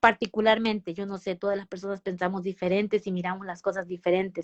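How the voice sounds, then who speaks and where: The voice belongs to a woman. Its pitch is medium. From Mexico. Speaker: nurse. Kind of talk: interview. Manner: halting, many false starts and fillers.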